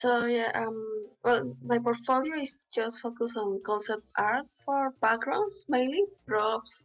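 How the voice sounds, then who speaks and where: Using a non-native accent, a woman speaks at a very slow pace with hardly any pauses, her fairly high pitch showing ordinary variation. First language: not English. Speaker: aspiring concept artist. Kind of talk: portfolio review conversation. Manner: halting.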